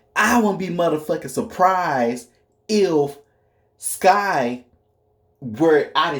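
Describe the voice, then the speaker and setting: Here a man talks with a high pitch. His intonation is lively. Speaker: astrology commentator. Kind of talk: casual monologue.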